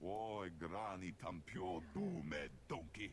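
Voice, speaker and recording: Over clear background noise, a man puts on a character voice and speaks at a fairly slow pace. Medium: video game. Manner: speaks alien gibberish language.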